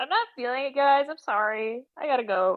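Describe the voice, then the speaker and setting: Using a put-on character voice, a woman speaks in a nasal, high pitch at a moderate pace. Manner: plugged nose.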